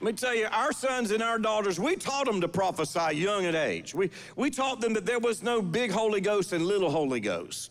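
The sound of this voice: With lively intonation and few pauses, a man talks at a moderate pace in a high voice.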